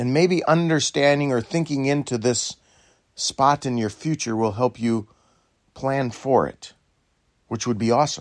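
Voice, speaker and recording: At a fairly slow pace, a man speaks with medium pitch and ordinary pitch variation. Long, frequent pauses break up his speech. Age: 60s. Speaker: dairy farmer. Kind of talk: reflective talk.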